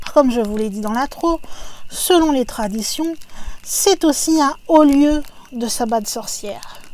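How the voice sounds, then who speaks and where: A woman's high voice with lively intonation, a very slow pace and long, frequent pauses. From France, not Alsace. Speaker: YouTube narrator of paranormal stories. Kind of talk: narration of a legend. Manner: casual, conversational.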